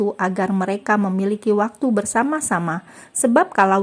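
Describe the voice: What you hear is someone reading aloud in a plain manner.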